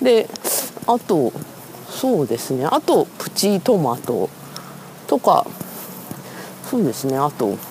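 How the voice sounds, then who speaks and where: The speech is very slow, broken by long, frequent pauses, with noticeable background noise. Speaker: writer and editor podcaster. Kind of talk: solo walking monologue. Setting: outdoors walking in the street. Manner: casual, many fillers; self-mocking polite.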